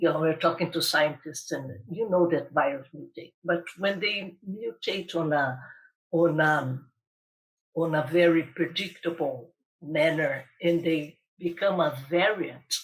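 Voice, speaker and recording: Speaking at a fairly slow pace, a woman uses a fairly low pitch. Her pitch varies in an ordinary way. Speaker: global health official. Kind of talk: interview. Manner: halting, many repetitions.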